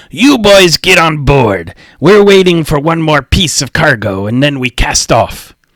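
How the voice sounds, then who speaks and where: A man does a put-on character voice, fairly high in pitch with very wide pitch swings. His pace is moderate and the sound is dry and close with no echo. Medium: read story. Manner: gruff, blunt.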